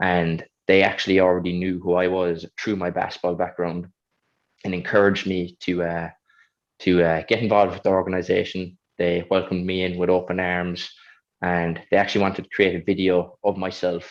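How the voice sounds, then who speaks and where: A man's very deep, low voice in a strong Kerry accent, monotone and flat, at a fairly quick pace against a quiet background. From Ireland, County Kerry. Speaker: Paralympic high jumper. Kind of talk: panel interview.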